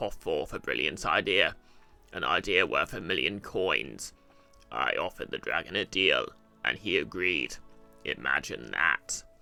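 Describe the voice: A man does a put-on character voice with a very deep, low pitch at a moderate pace. He pauses long and often, and faint music plays in the background.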